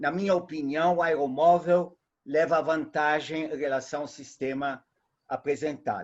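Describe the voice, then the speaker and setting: Speaking at a moderate pace with a Portuguese accent, a man uses a fairly high pitch and ordinary pitch variation. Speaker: audience member asking a question. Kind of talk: Q&A question in a webinar. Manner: halting.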